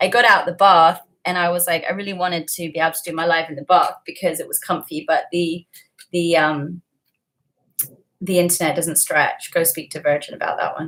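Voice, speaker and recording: A woman with an American accent speaks at a moderate pace, her fairly low voice carrying fairly even intonation. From England. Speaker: livestreamer. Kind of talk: casual livestream chat.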